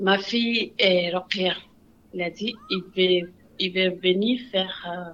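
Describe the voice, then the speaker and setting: A woman talks at a very slow pace. Her medium-pitched voice keeps fairly even intonation. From Senegal. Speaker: refugee immigrant. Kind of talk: personal testimony.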